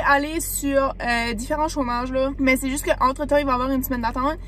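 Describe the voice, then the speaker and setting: Fairly quick, high-pitched speech from a woman, amid noticeable background noise and audible room echo. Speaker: vlogger. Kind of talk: vlog monologue. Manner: fast.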